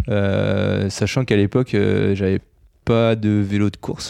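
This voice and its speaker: Over a quiet background, a man with a fairly low pitch speaks in a dark, mellow tone and monotone, flat intonation. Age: 30s. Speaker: amateur triathlete. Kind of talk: interview. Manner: hesitant, many fillers.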